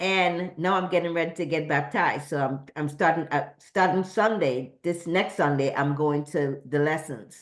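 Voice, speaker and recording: Speaking at a moderate pace with hardly any pauses, a woman has a very deep, low pitch and ordinary pitch variation. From Trinidad. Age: 60s. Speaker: event participant giving a tribute. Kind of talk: personal testimony. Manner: halting, repeats words.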